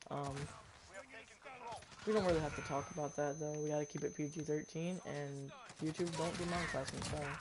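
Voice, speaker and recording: A man with a fairly high pitch at a fairly quick pace, long, frequent pauses, and noticeable background noise. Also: fairly even intonation. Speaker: gaming streamer. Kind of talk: casual gaming stream chat. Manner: loud, often yelling.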